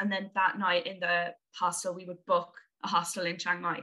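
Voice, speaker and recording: A woman with an Irish accent talks at a fairly quick pace in a bright, sharp tone. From Limerick, west of Ireland. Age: 20s. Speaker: traveler. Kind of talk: casual chat. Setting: video call.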